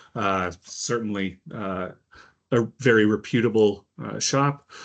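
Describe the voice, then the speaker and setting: A man's fairly even intonation over a quiet background. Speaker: college instructor. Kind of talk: recorded lecture. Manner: slow; hesitant, many fillers.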